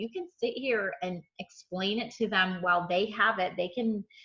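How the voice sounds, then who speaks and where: An ordinary speaking voice from a woman, fairly high in pitch with ordinary pitch variation, at a moderate pace. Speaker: real estate trainer. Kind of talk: tutorial. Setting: video call.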